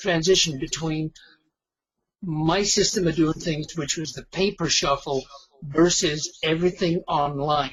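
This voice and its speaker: Using a normal speaking voice, a man talks at a fairly slow pace with fairly high pitch and fairly even intonation. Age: 60s. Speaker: retired online marketing affiliate. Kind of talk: webinar interview. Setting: webinar call.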